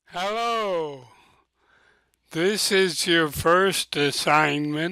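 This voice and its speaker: A man speaks at a high pitch in a bright, sharp tone with ordinary pitch variation and a very slow pace. The sound is dry with no echo, against a quiet background. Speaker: teacher. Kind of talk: screen-recorded software tutorial. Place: home room. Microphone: webcam.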